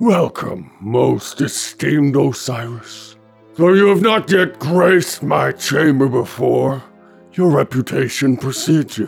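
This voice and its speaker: A man with a medium pitch does a raspy, put-on character voice. Faint music plays in the background. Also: fairly slow pace. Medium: audio drama. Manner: unctuous, flattering.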